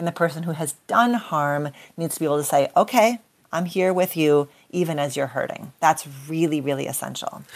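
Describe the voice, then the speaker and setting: A normal speaking voice from a woman, fairly low-pitched and fairly quick in pace. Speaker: clinical psychologist. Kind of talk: interview discussion.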